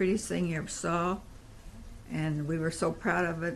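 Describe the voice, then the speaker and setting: A woman with an American accent speaks at a moderate pace and a fairly low pitch. Her voice has vocal fry and fairly even intonation. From Indiana, Evansville. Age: 70s. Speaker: grandmother telling family history. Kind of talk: oral history interview.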